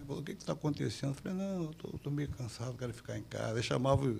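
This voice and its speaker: There are very wide pitch swings in a man's voice, with noticeable background noise behind it. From Brazil, Rio de Janeiro (Copacabana). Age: 70s. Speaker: jiu-jitsu grandmaster. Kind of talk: interview storytelling.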